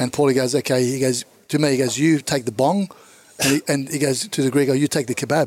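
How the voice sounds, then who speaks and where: With an Australian accent, a man talks at a very fast pace and a fairly high pitch, with fairly even intonation and very even loudness. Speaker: comedian. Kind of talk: casual chat.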